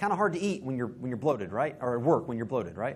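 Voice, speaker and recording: Amid audible room echo, a man at medium pitch talks at a very fast pace with very wide pitch swings. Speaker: preacher. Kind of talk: sermon. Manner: halting, self-correcting.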